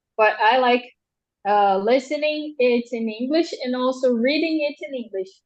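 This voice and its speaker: A woman's high-pitched voice with a Portuguese accent, at a moderate pace. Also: ordinary pitch variation. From Brazil. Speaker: translator. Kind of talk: interview. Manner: halting.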